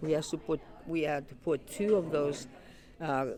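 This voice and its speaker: A moderate pace with a Greek accent and ordinary pitch variation, over noticeable background noise. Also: woman. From Greece, Patras, moved to Pittsburgh at 11. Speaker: retired Greek school teacher, community member. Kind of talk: interview. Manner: halting, many fillers.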